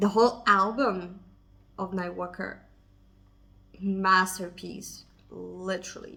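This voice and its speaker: A woman speaks very slowly with a non-native accent. Her medium-pitched voice has a bright, sharp tone. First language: not English. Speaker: K-pop reaction youtuber. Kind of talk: casual music video reaction to camera. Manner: excited.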